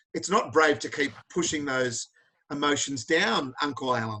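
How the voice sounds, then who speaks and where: In an Australian accent, a man speaks. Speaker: charity founder and interview host. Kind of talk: video call interview. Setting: video call. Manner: animated.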